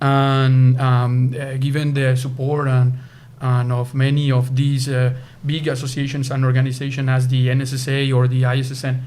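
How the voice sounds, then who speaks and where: In a Spanish accent, a man talks at a moderate pace and medium pitch with monotone, flat intonation, and audible room echo surrounds his voice. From Colombia, Bogotá. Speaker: sports nutrition scientist. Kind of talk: interview. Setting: conference venue. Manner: halting, many fillers.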